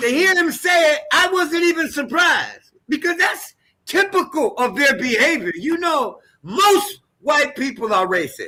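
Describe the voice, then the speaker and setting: A man speaks fairly slowly in a raised, projected voice at an extremely high pitch. His tone is bright and sharp, and his pitch swings very widely. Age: 60s. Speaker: astrologer. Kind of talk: live panel discussion. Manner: emphatic.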